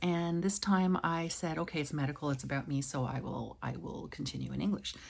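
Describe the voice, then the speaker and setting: Her pitch is very deep and low. The audio is very clean, and the background is silent. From Quebec. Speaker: vlogger with chronic illness. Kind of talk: casual vlog monologue. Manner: hesitant, many fillers.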